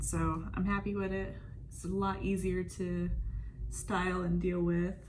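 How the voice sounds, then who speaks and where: There is audible room echo and noticeable background noise. The speaker is a woman. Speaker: beauty vlogger. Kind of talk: casual chat. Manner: monotone.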